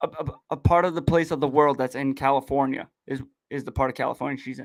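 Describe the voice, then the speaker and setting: Talking at a very fast pace in a strong Boston accent, a man with a fairly high pitch makes big swings in loudness. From southern Massachusetts. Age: 30s. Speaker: podcast host. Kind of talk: casual chat. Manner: animated, casual.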